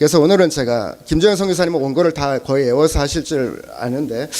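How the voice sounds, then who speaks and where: A man talks at a very fast pace with lively intonation and a fairly high pitch. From South Korea, Chungcheong (Cheongju). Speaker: pastor. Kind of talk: sermon. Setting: church service. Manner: halting, many fillers.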